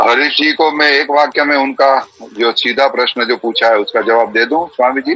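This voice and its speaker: With noticeable background noise behind him, a man with a fairly high pitch speaks at a very even loudness and fairly even intonation, with hardly any pauses. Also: moderate pace. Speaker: Vedic preacher and yoga practitioner. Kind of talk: online discussion session.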